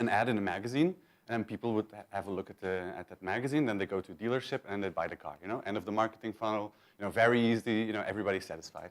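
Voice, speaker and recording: In a very clean recording with a silent background, a fairly low-pitched man with a Belgian accent talks at a very fast pace, with ordinary pitch variation and big swings in loudness. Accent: Belgian accent, noticeable. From Belgium. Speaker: conference speaker, search marketing manager. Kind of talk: conference talk. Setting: stage with audience. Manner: casual, with many fillers and repetitions.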